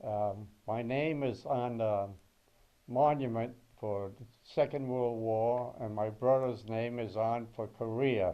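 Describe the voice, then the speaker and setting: In a New England accent, a man talks at a very slow pace with medium pitch and fairly even intonation. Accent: New England American. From Massachusetts. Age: 80s+. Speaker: war veteran. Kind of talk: oral history interview.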